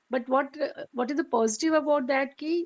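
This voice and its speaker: A woman speaks with an Indian accent and a high pitch. Her pitch varies in an ordinary way. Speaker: meditation group participant. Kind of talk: sharing in group. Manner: halting.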